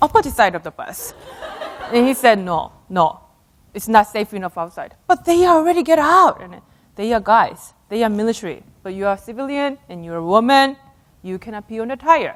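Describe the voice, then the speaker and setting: A woman with a Korean accent, a fairly high pitch and very wide pitch swings at a moderate pace. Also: big swings in loudness. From South Korea. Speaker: astronaut and speaker. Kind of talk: keynote talk with storytelling. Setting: stage with audience.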